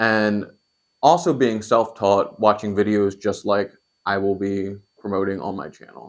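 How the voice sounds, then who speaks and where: A man with an American accent, fairly low in pitch and fairly slow in pace. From Pennsylvania, York. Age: 20s. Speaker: cooking YouTuber. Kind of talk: channel introduction monologue.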